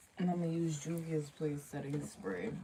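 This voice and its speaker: Over noticeable background noise, a woman speaks at a moderate pace with a very deep, low pitch. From Jamaica. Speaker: beauty vlogger. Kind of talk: makeup tutorial livestream chat. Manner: casual, distracted.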